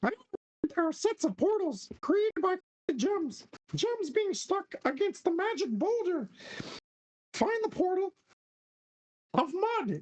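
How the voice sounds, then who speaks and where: In a put-on character voice at an extremely high pitch, the speaker goes at a fairly slow pace, with long, frequent pauses. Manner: whispering.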